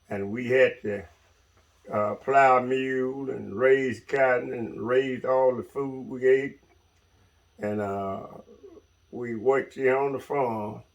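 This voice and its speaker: A man speaks at a medium pitch and a very slow pace, with long, frequent pauses. His intonation is fairly even, while his loudness swings widely. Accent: Mississippi. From US South, Mississippi. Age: 70s. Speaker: retired logger. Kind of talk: interview.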